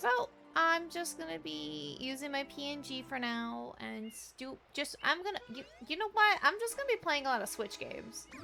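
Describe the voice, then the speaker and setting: A woman speaks at a moderate pace with big swings in loudness. Music plays in the background. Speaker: video game streamer. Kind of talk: casual live-stream chat.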